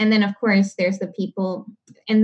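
Over a quiet background, a woman speaks. Her voice is somewhat breathy. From Panama (Panama City). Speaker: community organizer and racial justice advocate. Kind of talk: interview conversation. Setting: remote podcast interview.

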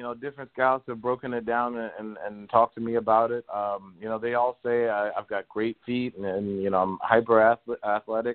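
This man has an unremarkable speaking voice at a medium pitch, with an American accent. He talks at a moderate pace. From Baltimore, Maryland. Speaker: college football player. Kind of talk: casual interview.

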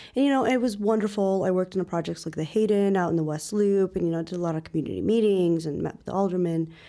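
Talking at a very fast pace with hardly any pauses, a woman has a Chicago accent and a dark, mellow tone. Her medium pitch shows ordinary variation, while her loudness swings a lot. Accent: Chicago American English. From Chicago suburbs, US Midwest. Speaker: real estate broker. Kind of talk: interview.

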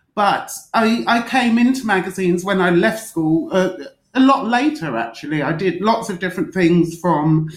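Audible room echo surrounds a woman speaking at a fairly slow pace and fairly low pitch with lively intonation. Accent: London. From London (East London, Forest Gate). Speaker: magazine editor and drinks writer. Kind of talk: interview.

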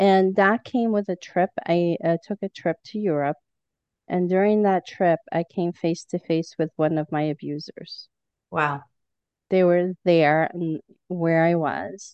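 A woman talks at a fairly slow pace in an ordinary speaking voice, fairly low in pitch with fairly even intonation. The sound is dry and close, with no echo. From outside the US, rural. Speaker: clinical hypnotherapist. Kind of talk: personal testimony.

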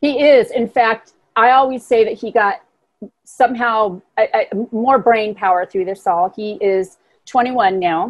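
A woman with an unremarkable speaking voice talks fairly slowly at a fairly high pitch, with ordinary pitch variation. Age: 60s. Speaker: motivational speaker and writer. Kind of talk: interview.

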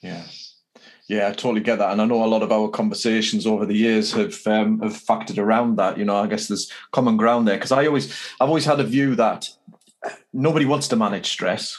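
A man with an English accent, medium pitch and ordinary pitch variation, talking at a very fast pace. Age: 50s. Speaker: podcast host. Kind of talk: interview.

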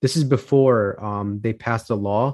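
With an American accent, the voice has a dark, mellow tone and a dry, close sound with no echo. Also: man. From Chicago, Illinois. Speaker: financial services firm founder. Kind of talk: podcast interview. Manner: frequent fillers and restarts.

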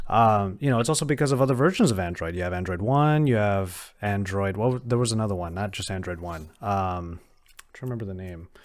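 A man with an unremarkable speaking voice talks at a fairly quick pace and fairly low pitch with lively intonation, in a very clean recording with a silent background. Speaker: video host. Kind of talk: casual chat. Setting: studio.

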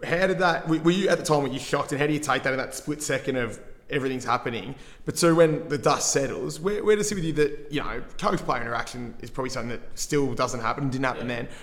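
Talking at a very fast pace, a man with a fairly high pitch and an Australian accent uses ordinary pitch variation. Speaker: podcast host. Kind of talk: interview.

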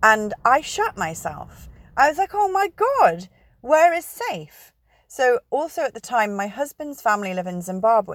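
A high-pitched woman at a fairly slow pace, her pitch swinging very widely, in a dry, close sound with no echo. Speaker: astrology vlogger. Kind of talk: casual monologue. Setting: in a parked car.

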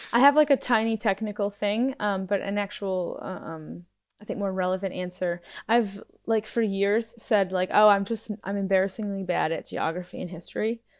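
A woman in an American accent speaks at a moderate pace in a plain, everyday voice with ordinary pitch variation. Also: medium pitch for a woman. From upstate New York. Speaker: teacher. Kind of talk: casual chat. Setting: video call.

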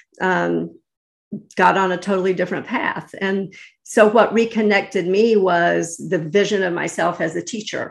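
A woman's voice with vocal fry and an American accent, at a moderate pace with fairly even intonation, over a quiet background. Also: medium pitch for a woman. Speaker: lawyer, real estate broker and life coach. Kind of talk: interview conversation. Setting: remote call.

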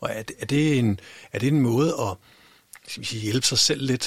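A man speaks at a moderate pace, somewhat breathy, with ordinary pitch variation. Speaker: podcast host. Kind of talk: casual interview. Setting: studio. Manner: halting.

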